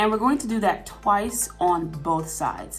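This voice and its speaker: A woman's lively intonation over music in the background. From Atlanta, Georgia. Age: 20s. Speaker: sewing tutorial YouTuber. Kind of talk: casual tutorial talk to camera.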